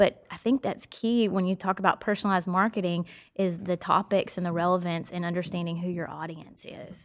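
With a slight Southern US accent, a woman talks at a fairly quick pace and with big swings in loudness. The recording is very clean, with a silent background. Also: medium pitch for a woman, hardly any pauses. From Nashville, Tennessee; US South. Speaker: marketing professional. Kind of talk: casual conversational interview. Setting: studio podcast. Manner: upbeat, enthusiastic.

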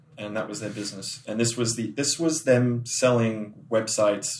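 Noticeable background noise sits behind a man speaking at a medium pitch. His pace is moderate and his intonation fairly even. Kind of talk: casual interview chat.

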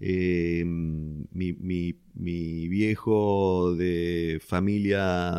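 On a very clean recording with a silent background, a man with a Rioplatense accent speaks in a very deep, low pitch with ordinary pitch variation. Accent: Argentine Rioplatense Spanish. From Argentina, Venado Tuerto (southern Santa Fe). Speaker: business executive. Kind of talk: interview. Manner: hesitant with frequent repetitions.

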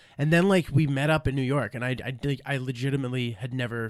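On a very clean recording with a silent background, a man speaks at a very fast pace with medium pitch and fairly even intonation. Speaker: stand-up comedian. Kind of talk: casual chat.

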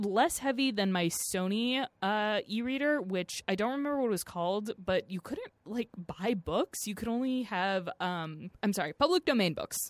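In an ordinary speaking voice, a woman talks at a fairly high pitch and a fairly slow pace with lively intonation, in a dry, close sound with no echo. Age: 20s. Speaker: podcast co-host, producer. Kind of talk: casual chat.

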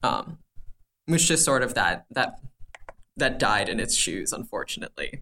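Long, frequent pauses breaking up a man's moderate pace. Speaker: podcast guest. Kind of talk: casual chat.

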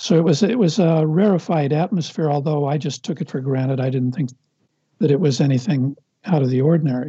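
A fairly high-pitched man's voice with an American accent, dark and mellow, with ordinary pitch variation. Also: fairly quick pace. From Los Angeles, US. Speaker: film writer and director. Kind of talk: casual interview conversation.

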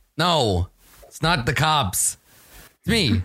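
A man does a raspy put-on character voice, pitched fairly high, with very wide pitch swings.

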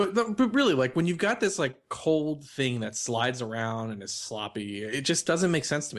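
A man with an American accent talks at a fairly quick pace with lively intonation against a quiet background. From New York. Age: 30s. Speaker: podcast co-host. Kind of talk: casual chat. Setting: video call.

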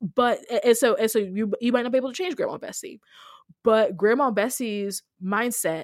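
With a very clean recording and a silent background, a woman talks at a moderate pace in an ordinary speaking voice, fairly high in pitch, with lively intonation. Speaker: minister and anti-racism writer. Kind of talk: casual interview.

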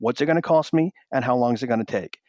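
Lively intonation and a very fast pace mark this man's medium-pitched voice. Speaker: sales trainer. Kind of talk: interview. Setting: phone call.

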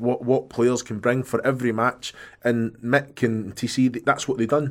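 A man with a Scottish accent speaks at a medium pitch and a moderate pace, his intonation monotone and flat. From Scotland. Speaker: former footballer, podcast co-host. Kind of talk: casual chat. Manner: jokey.

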